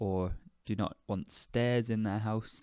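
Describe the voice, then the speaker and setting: A man talks at a fairly low pitch with a British accent. His pace is fairly slow, on a very clean recording with a silent background. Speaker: podcast host, English teacher. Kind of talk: educational podcast monologue. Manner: deliberately slowed.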